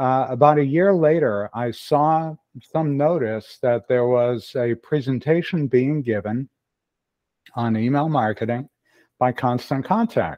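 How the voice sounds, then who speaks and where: A man with a normal speaking voice talks at a moderate pace in a fairly high pitch. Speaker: email marketing consultant. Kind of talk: casual interview.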